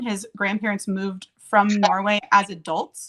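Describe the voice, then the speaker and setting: A woman speaks in a bright, sharp tone. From USA. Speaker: live streamer. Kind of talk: casual chat. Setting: live stream. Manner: fast.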